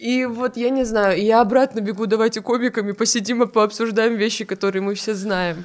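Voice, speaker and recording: A woman's plain, everyday voice, a plain, everyday voice at a fairly high pitch, with fairly even intonation, a moderate pace and hardly any pauses. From North Ossetia. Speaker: stand-up comedian. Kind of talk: casual chat.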